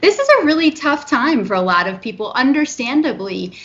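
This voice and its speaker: A normal speaking voice from a woman, moderately paced and with ordinary pitch variation. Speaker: movement disorder specialist doctor. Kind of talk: interview. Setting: remote recording from home.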